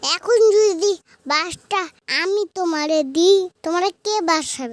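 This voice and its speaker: An extremely high-pitched, cartoonish character voice. The pace is very slow. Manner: teasing, impudent.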